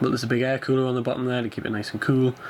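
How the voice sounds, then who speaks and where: Noticeable background noise runs under the recording. A man speaks at a medium pitch. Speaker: aviation videographer. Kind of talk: casual talk to camera.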